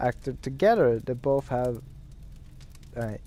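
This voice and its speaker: The speaker has a non-native accent and talks at a fairly slow pace. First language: Norwegian. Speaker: gaming streamer. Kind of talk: gameplay commentary with reading aloud. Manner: halting, many fillers.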